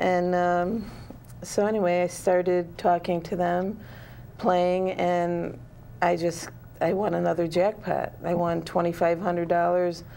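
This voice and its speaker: Speaking very slowly, a woman keeps her fairly low pitch monotone and flat. Her loudness stays very even. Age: 50s. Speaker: author. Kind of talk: interview. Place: studio.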